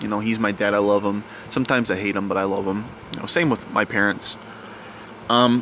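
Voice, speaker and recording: A man with a fairly low pitch talks at a very fast pace. He takes long, frequent pauses over noticeable background noise. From US South. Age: young. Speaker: vlogger. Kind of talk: personal confession vlog. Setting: outdoors at night. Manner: quiet; halting.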